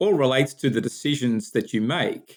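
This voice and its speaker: A man with an Australian accent speaks at a moderate pace. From Australia, Sydney. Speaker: business founder and executive. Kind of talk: podcast interview.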